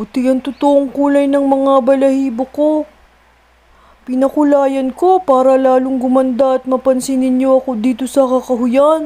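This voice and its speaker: In a put-on character voice, a woman with a high pitch speaks at a moderate pace in a monotone, flat intonation. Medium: read story. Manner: boastful then humbled.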